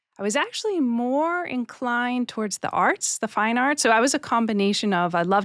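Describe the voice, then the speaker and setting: At a fairly quick pace, a woman with a Boston accent speaks with ordinary pitch variation on a very clean recording with a silent background. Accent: American (Boston), noticeable. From US, Boston area, Massachusetts. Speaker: head of human resources. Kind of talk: interview. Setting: studio.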